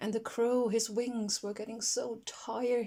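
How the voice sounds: Fairly even intonation in a natural reading voice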